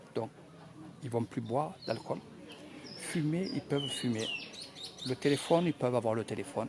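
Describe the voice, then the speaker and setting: The speaker talks at a moderate pace with a Marseille accent and ordinary pitch variation. Long, frequent pauses break up the speech, and background noise is noticeable. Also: man, medium pitch for a man. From France, Marseille. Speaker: travel vlogger. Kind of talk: live commentary at a ceremony. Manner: soft-spoken, quiet; halting, many hesitations.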